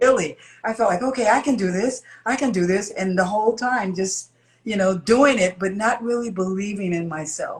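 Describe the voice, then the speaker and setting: A woman talks at a moderate pace and a medium pitch. Her voice is somewhat breathy, with ordinary pitch variation. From Chicago, US Midwest. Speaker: singer. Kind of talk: interview.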